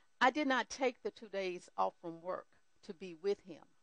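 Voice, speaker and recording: A plain, everyday voice from a woman at medium pitch, lively intonation and moderate pace, with a dry, close sound with no echo. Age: 60s. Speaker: church counselor sharing testimony. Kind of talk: testimony.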